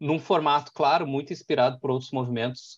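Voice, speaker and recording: Here is a man with a normal speaking voice and a fairly high pitch. He talks at a fairly quick pace with fairly even intonation, with a quiet background. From Porto Alegre, southern Brazil. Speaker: executive director of an innovation hub. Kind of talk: interview, casual business talk.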